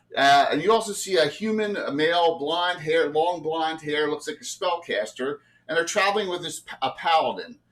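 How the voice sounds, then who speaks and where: The man's voice sits high and moves with ordinary pitch variation. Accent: South Jersey. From South Jersey, US. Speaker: game master. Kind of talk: tabletop game narration. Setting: livestream.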